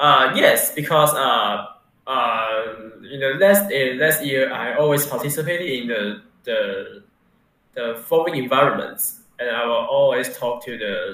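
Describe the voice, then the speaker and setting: A man speaks with a Mandarin accent at a fairly slow pace, with audible room echo. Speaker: university student. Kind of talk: interview. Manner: halting, many fillers.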